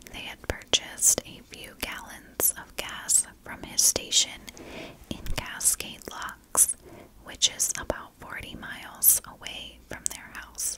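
A woman whispers, taking a very slow pace. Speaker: true crime storyteller. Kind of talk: true crime narration. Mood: calm, serious. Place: home room. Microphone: studio mic.

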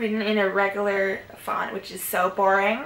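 A put-on, raspy character voice in a Southern California accent, monotone and flat, at a moderate pace over clear background noise. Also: female-sounding voice, medium pitch for a woman. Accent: valley girl. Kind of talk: casual vlog chat. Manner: bored, drawling. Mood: amused, slightly embarrassed.

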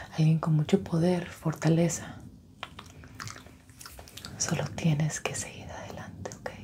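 A woman is whispering. She talks at a fairly slow pace. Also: big swings in loudness. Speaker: ASMR creator. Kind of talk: soft-spoken ASMR roleplay. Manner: soft, intimate ASMR murmur. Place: home room.

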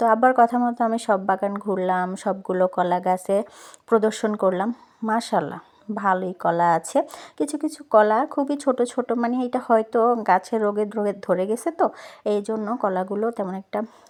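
A woman talks in a plain, everyday voice. Her pitch variation is ordinary. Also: fairly high pitch for a woman. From Noakhali, Bangladesh. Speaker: vlogger. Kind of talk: vlog narration.

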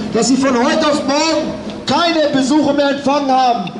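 A man talks with fairly even intonation at a moderate pace as noticeable background noise plays behind him. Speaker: speaker. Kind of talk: rally speech. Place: street.

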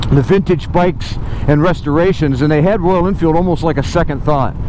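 A man speaks at a high pitch with fairly even intonation. The sound is dry with no echo, with noticeable background noise. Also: fairly quick pace, very even loudness. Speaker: motovlogger. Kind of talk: casual vlog chat. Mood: relaxed storytelling. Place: motorbike. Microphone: helmet.

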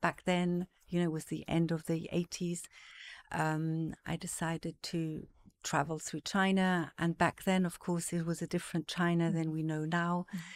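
A woman's fairly low voice, monotone and flat, at a moderate pace. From various African countries, Zimbabwe-born, Swiss parents. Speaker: art market executive. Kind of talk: casual interview. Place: studio. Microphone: studio mic.

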